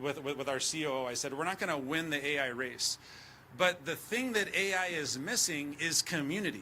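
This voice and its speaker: A man with a Spanish accent talks at a fairly quick pace. His pitch is fairly high, with ordinary pitch variation. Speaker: tech executive. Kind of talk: conference speech. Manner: animated.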